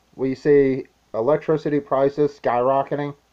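The background stays quiet while a man talks. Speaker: prepping vlogger. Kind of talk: casual vlog chat. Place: home room. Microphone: webcam.

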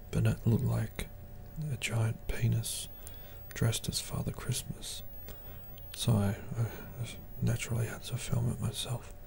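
A man whispers in a relaxed tone at a fairly slow pace. He leaves long, frequent pauses over noticeable background noise. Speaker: ASMR creator. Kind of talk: whispered ASMR monologue. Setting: home recording with popcorn eating. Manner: soft whisper, slow and halting; relaxed, hesitant with frequent fillers.

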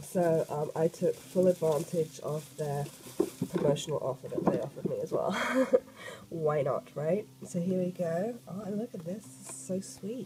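A woman with a dark, mellow tone speaks at a fairly slow pace and fairly low pitch, with ordinary pitch variation over faint background noise.

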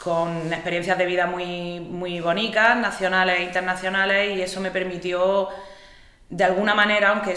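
A woman with a fairly low pitch and a fairly bright tone speaks at a moderate pace with fairly even intonation. Strong room echo surrounds her voice.

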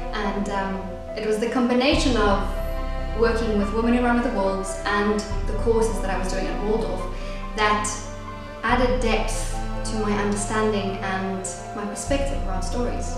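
Over clear music in the background and strong room echo, the speech moves at a moderate pace with long, frequent pauses. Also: woman. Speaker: actress and playwright. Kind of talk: casual talk to camera. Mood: warm, reflective. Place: home room. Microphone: camera far.

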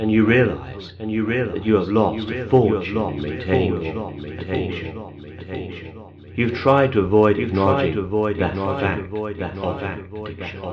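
A man speaks with a fairly low pitch and ordinary pitch variation in a calm, soothing tone. Noticeable background noise is present. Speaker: clinical hypnotherapist. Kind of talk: hypnosis session, guided relaxation.

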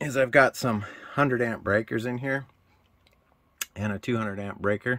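Against a quiet background, a man talks with ordinary pitch variation in a dry sound with no echo. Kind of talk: casual tour commentary. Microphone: phone near.

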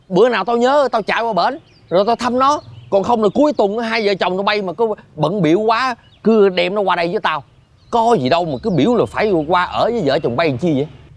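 A man's high-pitched voice with lively intonation, recorded dry with no echo. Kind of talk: scripted drama dialogue. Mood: mildly exasperated, persuasive. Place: garden.

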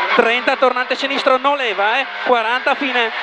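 A man speaks in a dry sound with no echo. Loud background noise runs behind him. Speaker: rally co-driver. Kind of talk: rally pace notes read out to the driver. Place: car. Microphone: helmet.

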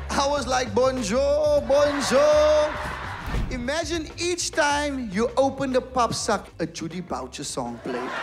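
A man's extremely high voice over clear music in the background. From Cape Town, South Africa. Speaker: stand-up comedian. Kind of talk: stand-up comedy performance. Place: stage. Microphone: handheld.

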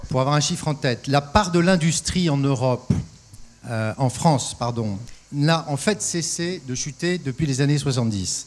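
The man speaks at a fairly slow pace with ordinary pitch variation. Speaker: industrial company executive. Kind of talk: panel discussion. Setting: stage with audience. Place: stage. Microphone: handheld.

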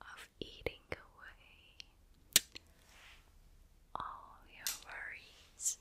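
Someone whispers in a calm tone at a very slow pace, with long, frequent pauses. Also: woman. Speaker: ASMR creator. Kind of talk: ASMR personal attention, whispered role-play. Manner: soft, calm, relaxing.

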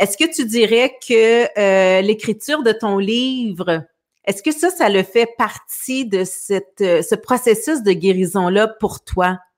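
A woman speaks at a very slow pace with lively intonation. The background is quiet. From Quebec. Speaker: talk show host. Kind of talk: casual interview. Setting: video call livestream. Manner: hesitant, many fillers. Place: home room. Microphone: studio mic.

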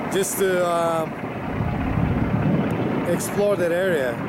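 There is no echo, so the sound is dry, though loud background noise is present. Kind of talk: casual vlog chat. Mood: relaxed, admiring. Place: boat.

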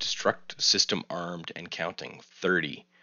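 In a put-on, robotic character voice, a man speaks at a fairly slow pace with a very deep, low pitch. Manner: booming.

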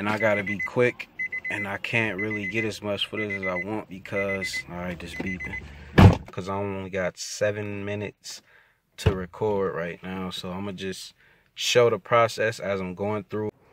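A man at a moderate pace, dry sound with no echo, loud background noise. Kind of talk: casual how-to tutorial. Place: car. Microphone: phone near.

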